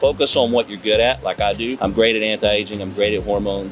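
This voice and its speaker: A man with a Southern US accent, fairly low pitched and very fast, against noticeable background noise. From US South, small-town Alabama. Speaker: doctor and entrepreneur. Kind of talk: casual interview. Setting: outdoors in a city square. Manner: animated.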